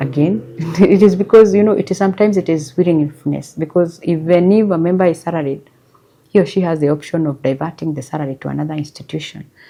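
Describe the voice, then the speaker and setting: Soft-spoken, a woman with a very deep, low pitch and dark, mellow tone talks at a fairly quick pace. Her pitch variation is ordinary. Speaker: SACCO chief executive. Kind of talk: interview answer.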